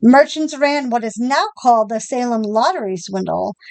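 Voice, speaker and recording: With lively intonation and a high pitch, a woman talks at a moderate speed. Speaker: podcast co-host. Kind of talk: podcast history narration; casual chat. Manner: some stumbles and self-corrections.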